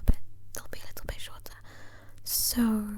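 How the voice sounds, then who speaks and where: Someone whispers in a soft-spoken way at a moderate pace over noticeable background noise. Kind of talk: casual ASMR talk to camera. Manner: soft-spoken, whispered.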